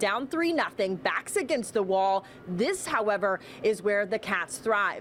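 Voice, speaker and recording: A woman speaks at a moderate pace in a medium pitch, upbeat in tone. Her intonation is lively, and there is noticeable background noise. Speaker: sports anchor. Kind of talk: TV sports news report.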